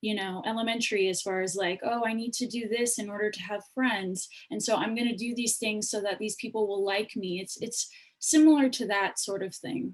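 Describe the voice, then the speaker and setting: This woman talks at a fairly quick pace with a fairly high pitch, a somewhat breathy quality and ordinary pitch variation. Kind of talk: panel discussion. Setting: video call.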